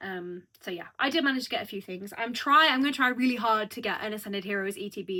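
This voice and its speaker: Talking at a very fast pace with a British accent, a woman sounds animated, her medium-pitched voice bright and sharp with ordinary pitch variation. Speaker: youtuber. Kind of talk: casual chat.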